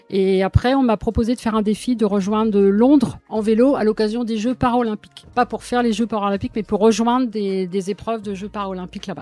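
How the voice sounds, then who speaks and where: A woman talks at a fairly quick pace with a fairly high pitch and fairly even intonation. The sound is dry and close with no echo, and there is noticeable background noise. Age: 60s. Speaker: retired para-cycling athlete. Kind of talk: interview answering children's questions. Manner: hesitant, many fillers.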